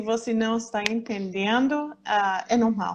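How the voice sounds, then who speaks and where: A woman with an American accent, fairly high pitch and flat, monotone intonation at a very slow pace, over noticeable background noise. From United States. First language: English (speaking Portuguese). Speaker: patient association president. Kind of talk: live stream interview. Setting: Instagram live. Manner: hesitant, many fillers.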